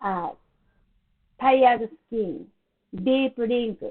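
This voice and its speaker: A woman with a non-native accent, very slow pace and very wide pitch swings. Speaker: beauty salon owner and skincare promoter. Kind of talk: product presentation to camera.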